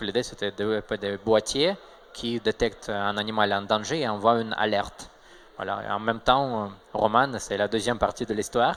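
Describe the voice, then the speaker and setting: A man talks at a moderate pace in a fairly low voice with fairly even intonation. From Russia, Saint Petersburg. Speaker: tech startup co-founder. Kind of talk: interview. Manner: hesitant, many fillers.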